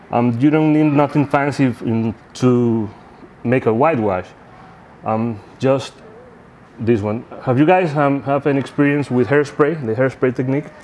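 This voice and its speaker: Over noticeable background noise, a man with a medium pitch talks at a moderate pace with ordinary pitch variation and long, frequent pauses. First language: not English. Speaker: scale model expert. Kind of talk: live demonstration seminar. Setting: live seminar with audience. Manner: halting, many fillers and repeats.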